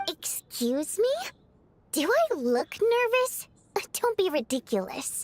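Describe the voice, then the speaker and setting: Using a put-on character voice at an extremely high pitch, a woman speaks at a fairly slow pace with very wide pitch swings and long, frequent pauses. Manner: indignant, defensive.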